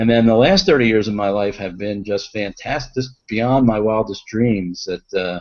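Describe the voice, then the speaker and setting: A man with a fairly low pitch talks at a moderate pace with ordinary pitch variation and hardly any pauses. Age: 60s. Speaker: physician and stress expert. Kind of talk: interview. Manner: hesitant, many fillers.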